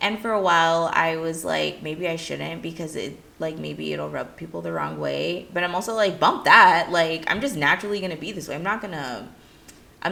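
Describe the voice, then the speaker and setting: A woman speaks at a moderate pace in a bubbly tone. Audible room echo surrounds her voice. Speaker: play coach and video creator. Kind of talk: casual talk to camera. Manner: loud and bubbly; animated.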